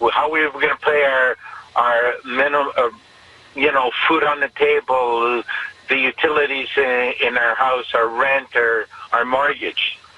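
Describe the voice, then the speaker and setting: A man speaks in a flat monotone at medium pitch and a fairly slow pace. Background noise is noticeable. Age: 50s. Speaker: taxi driver. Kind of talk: radio interview. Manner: halting.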